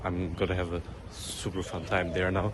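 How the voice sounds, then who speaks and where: A man talks in a very deep, low pitch. Noticeable background noise runs under his voice. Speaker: travel vlogger; exchange student. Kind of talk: vlog. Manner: casual; quiet.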